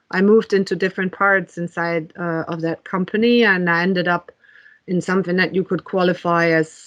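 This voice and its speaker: In a German accent, a woman speaks at a moderate pace. Her pitch is fairly low and her intonation fairly even. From Germany. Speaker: technology executive. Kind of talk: interview. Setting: podcast. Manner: many fillers and hesitations.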